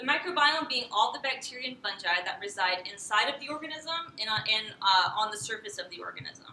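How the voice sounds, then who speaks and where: A woman speaks at a moderate pace in a high pitch with lively intonation. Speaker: PhD candidate. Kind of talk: lecture. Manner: loud; halting, many fillers.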